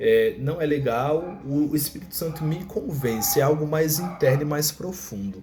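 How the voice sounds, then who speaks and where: A man with a Brazilian accent speaks at a moderate pace, his pitch fairly high and his intonation lively. Music plays in the background. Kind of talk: casual religious teaching video. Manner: filler-heavy, hesitant.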